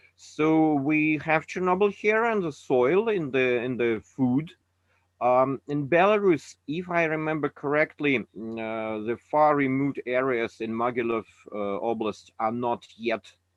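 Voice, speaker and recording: With a Russian accent, a man talks at a fairly slow pace in a fairly high pitch and with lively intonation. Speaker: anti-nuclear activist. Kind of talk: webinar talk. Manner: halting.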